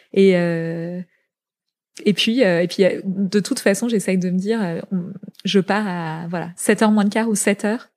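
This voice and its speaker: Medium-pitched female voice, fairly even intonation, a fairly slow pace with long, frequent pauses, on a very clean recording with a silent background. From France, Paris suburbs (born in Zaire). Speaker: fashion entrepreneur. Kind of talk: interview.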